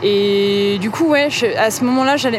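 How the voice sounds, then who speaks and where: Noticeable background noise and audible room echo fill the recording. A woman speaks over it at a fairly high pitch. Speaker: novelist and musician. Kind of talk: interview conversation. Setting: brasserie at night. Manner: halting, many hesitations and repetitions; voice rises higher when lying.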